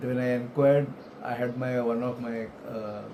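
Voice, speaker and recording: Over noticeable background noise and audible room echo, a man with an Indian accent and a medium pitch speaks in a monotone, flat intonation. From India, Mumbai (Maharashtra). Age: 70s. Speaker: retired elevator industry professional. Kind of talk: life story interview. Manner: halting, with many fillers.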